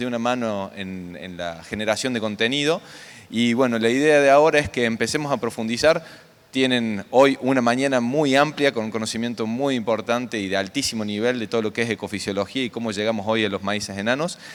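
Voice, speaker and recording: A man's unremarkable speaking voice, medium in pitch, fairly quick in pace, with ordinary pitch variation. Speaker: conference coordinator, agronomist. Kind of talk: conference welcome speech.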